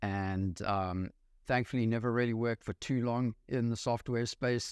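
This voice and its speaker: In a South African accent, a man talks at a moderate pace with medium pitch and fairly even intonation. The sound is dry and close with no echo, against a quiet background. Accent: South African accent, still noticeable. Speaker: real estate investor. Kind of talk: podcast interview. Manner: many fillers and hesitations.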